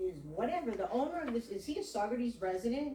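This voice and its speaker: Over noticeable background noise, a woman speaks loudly at a moderate pace, her fairly high pitch swinging very widely. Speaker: community member at public meeting. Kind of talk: public meeting comment.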